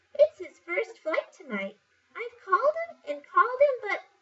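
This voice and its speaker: A woman performs a squeaky put-on character voice at an extremely high pitch. Her pace is moderate. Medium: read story.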